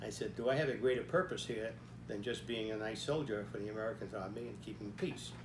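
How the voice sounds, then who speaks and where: With music in the background and audible room echo, a man speaks at a very fast pace with ordinary pitch variation. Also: fairly low pitch for a man. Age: 90s. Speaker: army veteran telling life story. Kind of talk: personal storytelling talk. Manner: halting, with frequent fillers.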